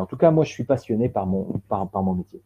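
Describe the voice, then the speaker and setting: A man's voice with a dark, mellow tone and very wide swings in pitch. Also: dry, close sound with no echo. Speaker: professional coach and trainer. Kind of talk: webinar presentation. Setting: online webinar. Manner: halting, with frequent repetitions and fillers.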